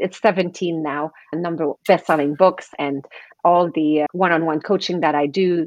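A woman's low-pitched, slightly mellow voice at a moderate pace, with fairly even intonation

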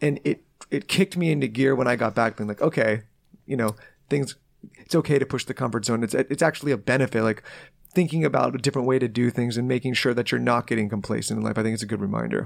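A man races along at a very fast pace with vocal fry, on a very clean recording with a silent background. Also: medium pitch for a man, ordinary pitch variation. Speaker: entrepreneur and podcast network founder. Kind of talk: casual interview chat.

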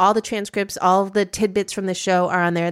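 This is an ordinary speaking voice with an American accent and ordinary pitch variation. The recording is very clean, with a silent background. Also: woman. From US Midwest. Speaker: podcast host and media founder. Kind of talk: casual chat.

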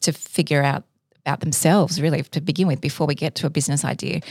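A woman with an Australian accent talks at a very fast pace in a very deep, low pitch with ordinary pitch variation, and the sound is dry and close with no echo. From Sydney, Australia. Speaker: entrepreneur. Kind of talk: interview.

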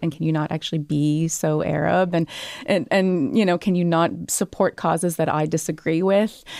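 A woman with an ordinary speaking voice talks at a moderate pace in a Canadian accent, her pitch fairly low and the sound dry and close with no echo. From Canada, Montreal roots. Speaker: author. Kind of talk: interview.

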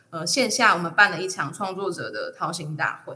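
A woman speaks with a bright, sharp tone. Audible room echo surrounds her voice. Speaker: podcaster and freelance audio producer. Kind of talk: casual interview chat.

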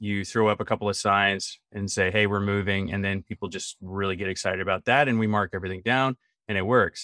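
This man has a plain, everyday voice, fairly low in pitch, speaking at a fairly quick pace with fairly even intonation. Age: 30s. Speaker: furniture retail executive. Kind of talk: interview.

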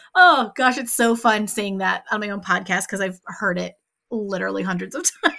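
A woman with an American accent, medium pitch, bright, sharp tone and vocal fry at a moderate pace in a very clean recording with a silent background. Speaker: podcast host. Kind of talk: casual interview chat. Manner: animated.

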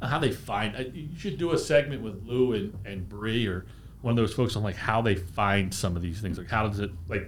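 With an American accent, a man speaks at a moderate pace in a fairly low, somewhat breathy voice. His intonation is lively, and audible room echo is present. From US Northeast, Bucks County, Pennsylvania. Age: 40s. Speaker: beverage company representative. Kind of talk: casual interview chat. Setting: studio.

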